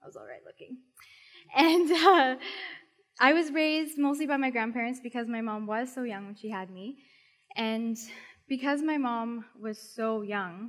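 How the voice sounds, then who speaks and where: At a moderate pace, a woman talks with lively intonation in a fairly high voice. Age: 20s. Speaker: youth leader at church. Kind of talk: sermon.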